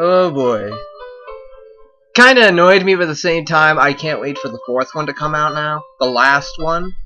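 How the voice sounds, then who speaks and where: Music plays in the background as a man talks at a fairly slow pace. His pitch is fairly high, with lively intonation. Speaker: let's play commentator. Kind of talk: casual gameplay commentary.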